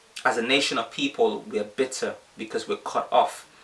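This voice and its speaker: A man speaks over noticeable background noise. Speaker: bible teacher. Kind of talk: bible teaching livestream. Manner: fast.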